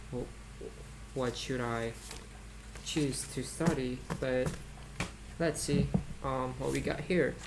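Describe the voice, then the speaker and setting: Someone with a non-native accent speaks at a very slow pace over noticeable background noise. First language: not English. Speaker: student vlogger studying for IELTS. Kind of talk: casual study vlog monologue. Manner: halting, many fillers and repeats.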